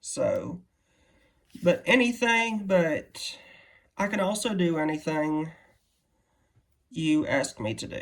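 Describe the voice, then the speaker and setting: The speaker talks at a very slow pace in a Southern US accent. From Louisiana, US South. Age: 20s. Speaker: artist, YouTuber. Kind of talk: casual unboxing vlog. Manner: hesitant, many fillers.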